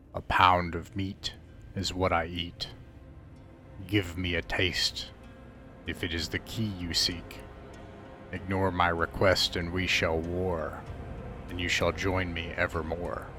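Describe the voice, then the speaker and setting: A man does a gravelly, put-on character voice at a fairly slow pace over clear background noise. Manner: ominous.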